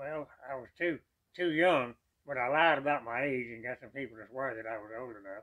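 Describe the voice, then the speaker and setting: A man in a Texan accent, medium-pitched with ordinary pitch variation, at a fairly quick pace with big swings in loudness. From East Texas. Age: 90s. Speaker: war veteran. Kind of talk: interview.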